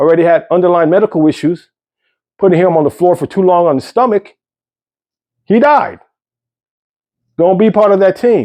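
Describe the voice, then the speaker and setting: This man has a high pitch and a dark, mellow tone, speaking at a moderate pace with ordinary pitch variation and long, frequent pauses. The sound is dry and close with no echo, against a quiet background. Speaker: healthcare security worker. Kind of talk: casual vlog monologue.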